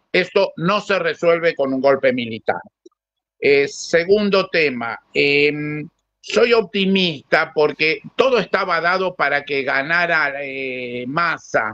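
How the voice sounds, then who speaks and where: With lively intonation, a man speaks at a very slow pace. His tone is bright and sharp, and his pitch is fairly high. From Argentina. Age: 60s. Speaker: panelist. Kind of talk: panel discussion.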